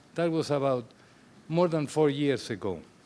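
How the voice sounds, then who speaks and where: A man with a strong Spanish accent. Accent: heavy Spanish. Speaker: father of the groom. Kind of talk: wedding toast. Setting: wedding ceremony with guests. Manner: halting, many fillers.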